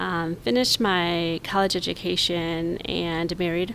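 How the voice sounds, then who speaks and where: A woman with an American accent uses a normal speaking voice, fairly low in pitch with fairly even intonation. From Mexico (Guadalajara), US-born. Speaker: nonprofit CEO.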